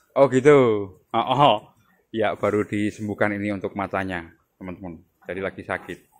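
Against a quiet background, a man with a fairly low pitch talks at a fairly quick pace, using ordinary pitch variation and long, frequent pauses. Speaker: goat farming video host. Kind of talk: on-site farm visit interview. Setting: outdoors at a goat pen. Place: farm machine. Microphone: phone near.

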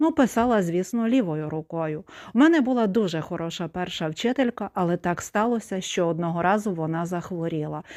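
A woman speaks in a plain, everyday voice at medium pitch. Her pace is moderate and her intonation lively. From Ukraine, Zakarpattia (Khust). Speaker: video blogger. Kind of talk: personal testimony monologue.

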